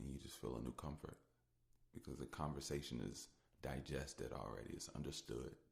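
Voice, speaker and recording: A man's very deep, low voice with vocal fry, fairly even intonation, and a fairly quick pace. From United States. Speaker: solo podcaster. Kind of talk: casual monologue. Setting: audio-only podcast.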